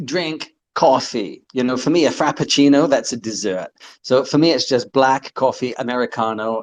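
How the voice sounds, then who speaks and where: Speaking with an English accent, a man uses a medium pitch. His pitch variation is ordinary. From England. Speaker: community member. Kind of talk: casual chat. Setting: online audio call.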